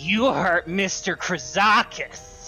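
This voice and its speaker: Over clear music in the background, a man uses a put-on character voice at a high pitch. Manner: growling.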